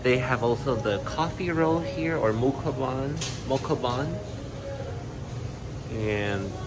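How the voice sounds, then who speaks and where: A man speaks with ordinary pitch variation against noticeable background noise. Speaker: travel vlogger. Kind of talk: casual vlog chat. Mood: upbeat, admiring. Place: shop. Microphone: phone near.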